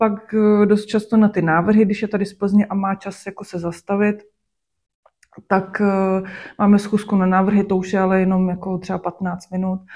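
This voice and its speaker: Very clean recording, silent background, and a woman at medium pitch with a dark, mellow tone, monotone, flat intonation and a moderate pace. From Czech Republic, Sušice and Klatovy. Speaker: fashion designer. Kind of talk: interview. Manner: filler-heavy, casual.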